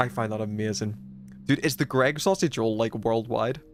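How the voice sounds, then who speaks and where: Over background music, a man with a medium pitch talks at a fairly quick pace. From Northern Ireland. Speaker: gaming streamer. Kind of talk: casual chat. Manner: animated.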